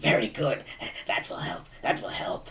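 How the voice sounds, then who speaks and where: Raspy and delivered at a moderate pace, the voice is a put-on character voice. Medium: actual play. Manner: eager, repetitive.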